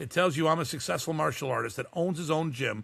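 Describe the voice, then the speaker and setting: Fairly quick and animated, a man speaks in a fairly high, bright, sharp voice with vocal fry and ordinary pitch variation. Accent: American. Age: 60s. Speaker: martial arts instructor. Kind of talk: podcast interview.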